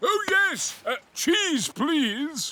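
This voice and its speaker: A man puts on a cartoonish character voice with a British accent at an extremely high pitch. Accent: folksy British dialect. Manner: jolly sailor talk, hearty.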